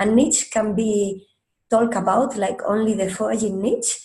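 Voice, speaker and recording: Somewhat breathy and fairly slow, a woman speaks at a fairly high pitch in a dark, mellow tone with ordinary pitch variation. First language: Spanish. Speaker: marine biologist. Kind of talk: lecture. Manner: halting.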